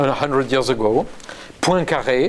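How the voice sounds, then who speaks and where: A man speaks with a French accent over noticeable background noise. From France. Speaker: neuroscientist. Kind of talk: interview. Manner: halting.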